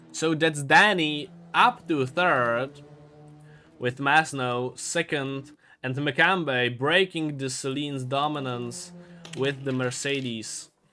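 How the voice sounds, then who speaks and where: Music plays in the background as a man talks at a very slow pace. His pitch is fairly high, with ordinary variation. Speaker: sim racing commentator. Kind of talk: live commentary. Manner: animated.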